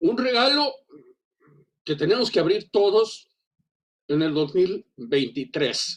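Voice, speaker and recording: A man talks with very wide swings in pitch. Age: 60s. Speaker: teacher. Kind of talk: seminar comment. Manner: halting, many fillers and repetitions.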